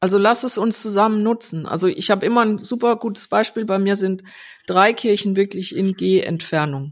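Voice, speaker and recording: With an unremarkable speaking voice, a woman talks at a moderate pace in a medium pitch and lively intonation. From Rhineland-Palatinate, Germany (Landau). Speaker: designer and agency founder. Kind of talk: casual interview. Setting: remote call.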